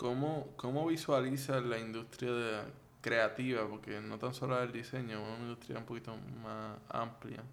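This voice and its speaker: Audible room echo is present. A man talks at a moderate pace. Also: medium pitch for a man, fairly even intonation. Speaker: podcast host. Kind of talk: interview.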